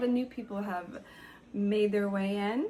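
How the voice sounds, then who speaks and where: Medium pitch from a woman, set in audible room echo. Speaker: spiritual lifestyle vlogger. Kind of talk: casual vlog talk. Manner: animated.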